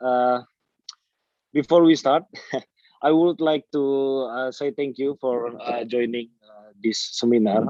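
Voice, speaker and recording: A man with an Indonesian accent and a fairly high but dark, mellow voice speaks at a fairly slow pace in a dry, close sound with no echo. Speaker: dairy farmer. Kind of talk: webinar presentation. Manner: halting.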